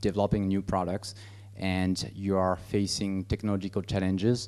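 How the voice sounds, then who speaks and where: A man with a French accent, fairly low-pitched and flat in a monotone, at a moderate pace. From France. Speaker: business executive. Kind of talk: presentation. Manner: halting, many fillers.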